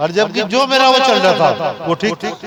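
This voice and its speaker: A man's voice over noticeable background noise. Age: 70s. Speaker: spiritual preacher. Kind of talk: sermon.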